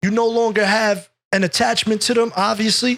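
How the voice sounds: With a bright, sharp tone and fairly even intonation, a man speaks at an extremely high pitch.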